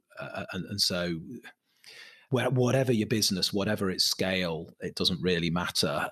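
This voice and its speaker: Recorded with a dry, close sound and no echo, a man with a Mancunian accent talks at a moderate pace. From Manchester, England. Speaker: property company chief executive. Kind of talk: interview conversation.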